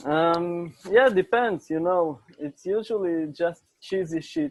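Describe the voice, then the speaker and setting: Speaking very slowly with an Israeli accent, a man shows ordinary pitch variation. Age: young. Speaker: interview guest. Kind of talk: casual chat.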